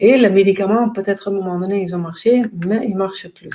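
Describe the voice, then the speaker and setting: A dark, mellow tone comes with ordinary pitch variation. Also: woman. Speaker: pain coach and trainer. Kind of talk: educational talk to camera. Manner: halting, many hesitations.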